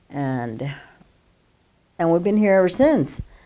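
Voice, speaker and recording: A woman with a Western US accent speaks in a dark, mellow tone on a very clean recording with a silent background. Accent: American, Western US. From Colorado (Longmont). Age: 70s. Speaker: local resident. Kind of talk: oral history interview. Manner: casual, hesitant.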